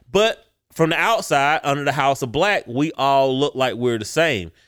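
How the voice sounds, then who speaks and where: A man with a fairly high pitch at a moderate pace, on a very clean recording with a silent background. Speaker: podcast host. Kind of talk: casual opinionated banter. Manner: animated, opinionated.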